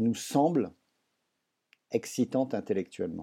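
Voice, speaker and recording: Ordinary pitch variation runs through a man's dark, mellow tone. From France. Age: 60s. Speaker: writer and doctor. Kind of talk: interview.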